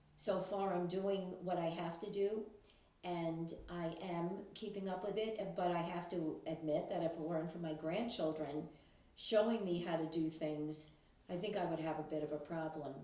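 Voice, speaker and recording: A woman with a fairly low pitch speaks at a moderate pace in fairly even intonation, with audible room echo and noticeable background noise. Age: 70s. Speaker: grandmother talking about technology. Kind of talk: casual monologue to camera. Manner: hesitant with fillers.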